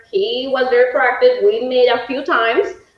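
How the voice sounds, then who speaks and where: In a Mexican accent, a woman speaks at a very slow pace with ordinary pitch variation. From Mexico. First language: Spanish. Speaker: home sales consultant. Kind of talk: live webinar presentation.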